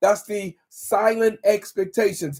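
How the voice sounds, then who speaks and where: A man speaks here. His tone is animated. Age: 60s. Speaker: relationship and marriage coach. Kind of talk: live stream talk. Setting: live stream on social media. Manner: animated, repetitive exhortation.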